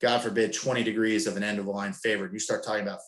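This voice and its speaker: A man, his pitch fairly low. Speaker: sailing coach presenter. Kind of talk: webinar presentation. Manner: fast; casual.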